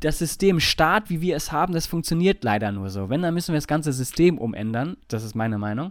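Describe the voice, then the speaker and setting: Barely pausing, a man speaks at a fairly quick pace and fairly high pitch, with very wide pitch swings, on a very clean recording with a silent background. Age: 30s. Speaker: podcast co-host. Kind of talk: casual chat.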